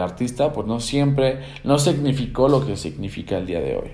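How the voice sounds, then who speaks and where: There is audible room echo. A man is speaking. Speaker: podcast host and teacher. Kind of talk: solo podcast monologue. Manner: hesitant, many fillers and repetitions.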